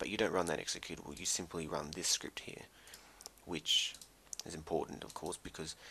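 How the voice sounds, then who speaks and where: Soft-spoken yet bright and sharp in tone, a man with a very deep, low pitch talks at a fairly quick pace. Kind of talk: casual software tutorial narration.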